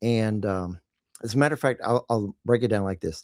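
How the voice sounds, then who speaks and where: Speaking at a fairly quick pace with a Texas accent, a man sounds dry and close with no echo on a very clean recording with a silent background. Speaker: marketing podcast host, directory owner. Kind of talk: casual chat.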